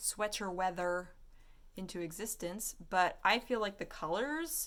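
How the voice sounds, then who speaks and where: A woman speaks in a normal speaking voice at a fairly slow pace with lively intonation. The recording is very clean, with a silent background. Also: medium pitch for a woman. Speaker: artist and vlogger. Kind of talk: casual vlog chat.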